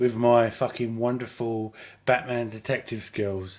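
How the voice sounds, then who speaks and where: Speaking fairly slowly, a man talks in an English accent. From England. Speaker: fan community admin on a livestream panel. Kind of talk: casual chat.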